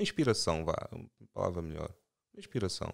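Very clean recording of a male speaker, silent background throughout. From Portugal, Angolan-born. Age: 30s. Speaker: financial consultant and investor. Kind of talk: casual chat.

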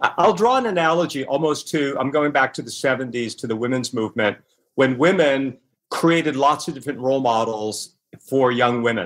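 A man's plain, everyday voice at medium pitch, moderate pace and ordinary pitch variation. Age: 60s. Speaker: author and former magazine publisher. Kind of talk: interview.

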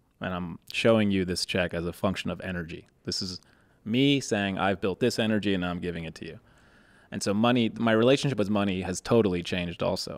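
A normal speaking voice from a man, fairly low in pitch, with ordinary pitch variation, a quiet background and a dry sound with no echo. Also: fairly quick pace. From Boston. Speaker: podcast host. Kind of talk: casual interview. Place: studio. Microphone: studio mic.

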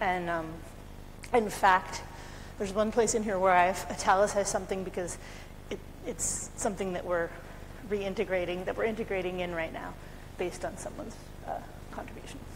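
A woman speaks with fairly even intonation and long, frequent pauses. Noticeable background noise sits behind her. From US, California. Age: 40s. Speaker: conference speaker, community participation lead; conference presenter. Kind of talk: conference talk. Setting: conference room with audience. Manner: fast. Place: hall.

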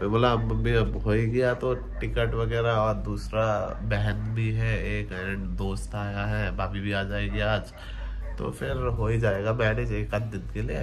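With light background noise in the recording, a man delivers his words at a fairly slow pace. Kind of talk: casual vlog chat. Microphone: phone near.

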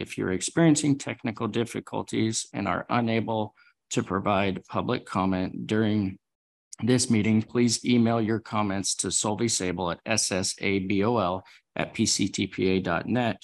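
At a fairly slow pace, a man talks in a fairly low voice with ordinary pitch variation. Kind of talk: formal meeting procedure announcement. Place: hall.

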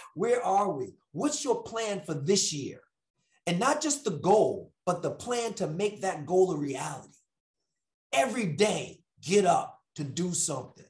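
With a quiet background and audible room echo, the speaker talks at a fairly slow pace in an animated tone with very wide pitch swings. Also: man. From New York. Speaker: motivational speaker. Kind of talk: motivational talk. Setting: video call. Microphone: earbuds.

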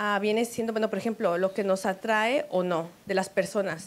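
At a moderate pace, a woman with an unremarkable speaking voice talks at a fairly high pitch. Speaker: co-host. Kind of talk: casual chat. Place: studio. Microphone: handheld.

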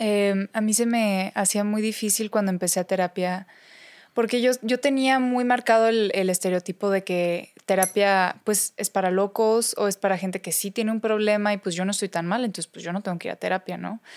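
Fairly even intonation and a moderate pace come through against a quiet background. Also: woman. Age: young. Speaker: speaker and recovering addict; podcast guest. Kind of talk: interview, personal testimony. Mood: reflective, personal. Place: studio. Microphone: studio mic.

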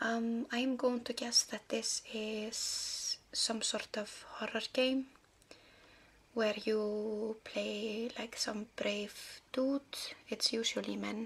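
Soft-spoken and somewhat breathy, a woman speaks very slowly at a fairly high pitch with monotone, flat intonation. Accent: Icelandic. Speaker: ASMR creator. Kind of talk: ASMR video. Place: home room.

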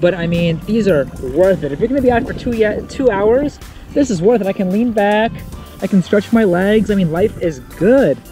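A man talks at a moderate pace in a high pitch, with clear music playing behind him. The sound is dry, with no echo. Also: ordinary pitch variation. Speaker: travel vlogger. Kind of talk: casual vlog chat. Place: waterside. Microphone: phone near.

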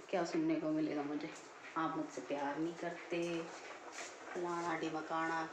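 A woman at a fairly low pitch and fairly slow pace, with noticeable background noise. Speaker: home vlogger. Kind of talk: casual vlog chat. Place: kitchen. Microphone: phone near.

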